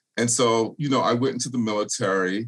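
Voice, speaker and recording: In a very clean recording with a silent background, a man with an American accent speaks in an unremarkable speaking voice. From US South, Charleston, South Carolina (Gullah culture). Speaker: political candidate and nonprofit director. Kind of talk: interview.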